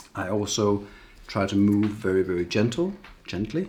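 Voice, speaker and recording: The speaker is a man. His pitch sits fairly low. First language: not English. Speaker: tattoo artist. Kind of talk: tutorial. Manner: casual, with hesitations.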